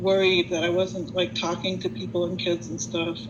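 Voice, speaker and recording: A woman speaks with a fairly low pitch. Noticeable background noise and audible room echo accompany her voice. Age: 60s. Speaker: concert pianist and college professor. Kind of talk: panel testimony. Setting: video call.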